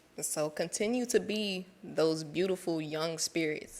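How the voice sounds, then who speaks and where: The pace here is fairly slow. It's a woman with an American accent. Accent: DC accent with slight Southern twang. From Washington DC. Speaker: program alum speaker. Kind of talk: speech to graduates.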